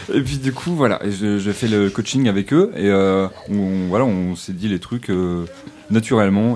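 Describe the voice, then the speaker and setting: A man's fairly low-pitched voice at a moderate pace, with ordinary pitch variation and noticeable background noise. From Normandy. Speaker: singer-songwriter. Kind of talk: casual chat.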